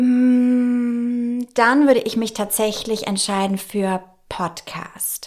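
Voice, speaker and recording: A woman speaks in a high voice at a very slow pace. Her intonation is fairly even. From Nuremberg, Franconia. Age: 30s. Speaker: dermatologist, podcast co-host. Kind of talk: casual chat.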